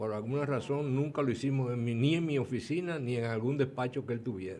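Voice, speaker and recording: A man speaks at a medium pitch with a dark, mellow tone. He goes at a fairly quick pace with ordinary pitch variation. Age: 80s+. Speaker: retired transport engineer and former official. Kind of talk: interview.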